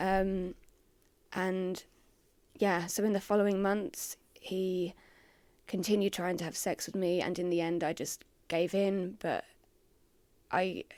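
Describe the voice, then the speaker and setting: A woman's medium-pitched, flat monotone at a very slow pace, broken by long, frequent pauses. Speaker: podcast guest sharing mental health story. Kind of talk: testimony. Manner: monotonous; halting.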